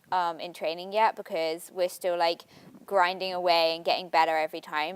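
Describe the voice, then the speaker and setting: A woman talks fairly quickly, her voice sitting at a medium pitch. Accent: English. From England. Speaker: college athlete. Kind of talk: interview. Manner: hesitant, many fillers.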